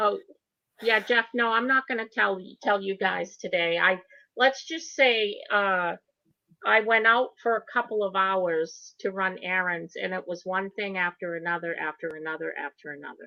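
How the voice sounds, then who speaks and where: A woman with an unremarkable speaking voice talks at a moderate pace and a medium pitch. Her pitch varies in an ordinary way, while her loudness swings widely. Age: 60s. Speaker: livestream co-host. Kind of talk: casual chat.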